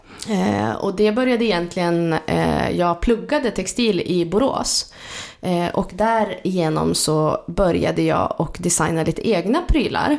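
With very even loudness, a woman speaks at a fairly slow pace over noticeable background noise. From Sweden, Jämtland (Vemdalen). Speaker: entrepreneur. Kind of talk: casual interview. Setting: kitchen at home, near a road.

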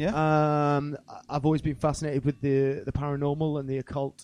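The man's voice is fairly high in pitch and moves at a moderate pace. The sound is dry and close with no echo, over a quiet background. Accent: South Welsh. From South Wales. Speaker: rapper and musician. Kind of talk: casual chat. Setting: stage with audience.

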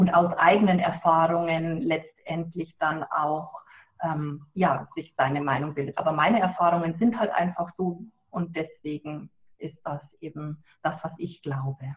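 A woman with a plain, everyday voice, fairly low in pitch, with fairly even intonation and a fairly slow pace. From Lower Bavaria, Germany. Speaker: author and animal communicator. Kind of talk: interview. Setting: phone call.

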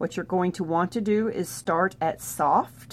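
A woman is speaking. Her pace is fairly slow. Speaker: therapist educator. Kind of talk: tutorial. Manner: instructional, friendly.

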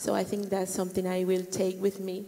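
Over noticeable background noise, a woman with a Colombian accent speaks at a medium pitch with monotone, flat intonation. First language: Spanish. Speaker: church member, volunteer. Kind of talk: interview testimony.

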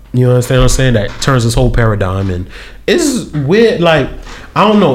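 Lively intonation comes through noticeable background noise and audible room echo. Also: man. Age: 30s. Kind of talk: casual chat.

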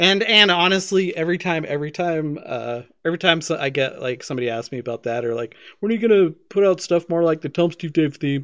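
A man with an ordinary speaking voice talks at a fairly quick pace and a fairly high pitch, his intonation lively. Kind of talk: casual chat and tabletop game session.

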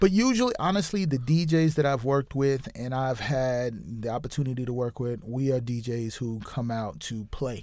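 A man with an unremarkable speaking voice talks at a moderate pace in a medium pitch, with ordinary pitch variation and hardly any pauses. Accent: American. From US, New York City. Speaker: DJ. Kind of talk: casual interview chat.

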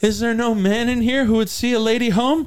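A man puts on a character voice pitched extremely high, speaking at a fairly quick pace with fairly even intonation and very even loudness. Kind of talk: theatrical, formal. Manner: mocking, dramatic.

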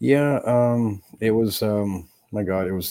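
A man with a dark, mellow tone speaks very slowly, his pitch varying in an ordinary way. The recording is very clean, with a silent background. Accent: American. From France, then Chicago and Montreal. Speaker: death metal drummer. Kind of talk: casual chat interview. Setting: live streamed podcast.

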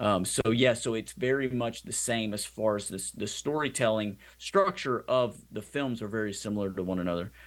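A man talks at a moderate pace in a medium pitch, with ordinary pitch variation and hardly any pauses. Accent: American. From Louisiana and Texas, US South. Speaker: film director and Marine veteran. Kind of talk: interview. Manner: halting with fillers.

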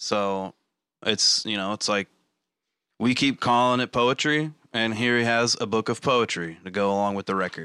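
Bright, sharp tone in a Southern US accent, at a moderate pace with ordinary pitch variation, on a very clean recording over a silent background. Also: man, medium pitch for a man, dry, close sound with no echo. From Arkansas, US South. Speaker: podcast host. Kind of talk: casual chat.

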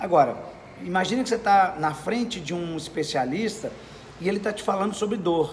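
Amid noticeable background noise and audible room echo, a man speaks at a high pitch and a fairly quick pace. His pitch varies in an ordinary way. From Brazil, Minas Gerais (Belo Horizonte). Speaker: sales speaker. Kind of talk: interview. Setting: at a sales event in Curitiba.

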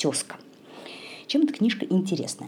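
Soft-spoken and at a moderate pace, a woman talks with very wide pitch swings. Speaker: podcast host on yoga and India. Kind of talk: solo podcast monologue, book review. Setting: at home in the kitchen late at night. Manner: soft-spoken, quiet. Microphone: possible sound quality problems.

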